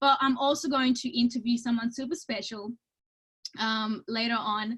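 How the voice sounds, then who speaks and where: The speaker's tone is enthusiastic, at a moderate pace. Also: woman, high pitch for a woman. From Romania. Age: 30s. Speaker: network marketing entrepreneur. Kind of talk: webinar presentation. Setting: video call.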